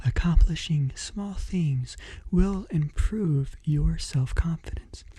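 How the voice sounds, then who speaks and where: A man speaks softly. His tone is calm. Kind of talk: motivational book reading with commentary. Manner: soft-spoken, calm.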